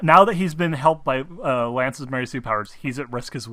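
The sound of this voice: Pitch shifts in an ordinary way through an unforced reading voice.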